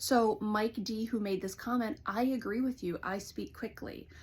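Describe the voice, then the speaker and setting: A woman speaks with an American accent. Her voice is somewhat breathy and fairly high. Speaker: counselor. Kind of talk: vlog monologue. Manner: fast; animated.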